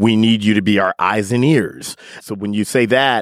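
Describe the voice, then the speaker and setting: A man's fairly low voice with a Midwestern American accent. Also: dry, close sound with no echo, very clean recording, silent background. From US Midwest. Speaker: digital media editor. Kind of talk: casual chat. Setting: studio.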